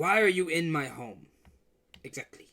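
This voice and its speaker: This put-on character voice sounds raspy, sitting at a middle pitch and moving at a moderate pace. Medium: actual play. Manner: shouting, erratic.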